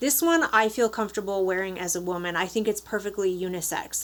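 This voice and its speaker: Over a silent background in a very clean recording, a woman with a slight Upper Peninsula Michigan accent speaks at a medium pitch, a moderate pace and with fairly even intonation. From Upper Peninsula of Michigan. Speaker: beauty vlogger. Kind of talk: product review. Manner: casual.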